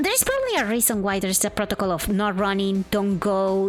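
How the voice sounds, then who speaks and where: A woman with a Spanish accent speaks at a fairly quick pace, her medium-pitched voice keeping a fairly even intonation. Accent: Spanish-speaker accent in English. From Argentina. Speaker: streamer. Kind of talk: casual chat. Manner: halting.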